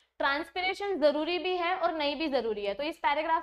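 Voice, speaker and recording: The woman's voice is extremely high-pitched. She talks at a moderate pace. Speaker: biology teacher. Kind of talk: lecture. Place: studio.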